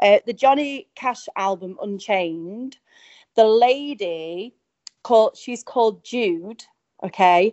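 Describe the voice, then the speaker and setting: Speaking very slowly with an English accent, a woman uses lively intonation. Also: fairly high pitch for a woman. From England. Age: young. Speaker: country singer. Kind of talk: interview.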